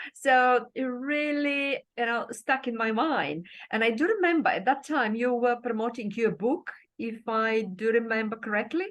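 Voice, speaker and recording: High-pitched, a woman speaks with ordinary pitch variation. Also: moderate pace. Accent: Bulgarian. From Bulgaria. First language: Bulgarian. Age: 50s. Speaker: life coach. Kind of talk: interview.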